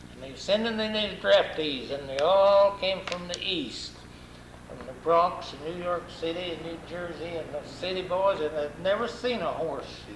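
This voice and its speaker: With a rural Arkansas accent, a man speaks at a moderate pace in a high pitch with ordinary pitch variation and big swings in loudness over noticeable background noise. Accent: rural Arkansas Southern. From US South, Arkansas (Crawford County). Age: 80s+. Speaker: war veteran. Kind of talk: oral history interview. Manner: halting, repeats words.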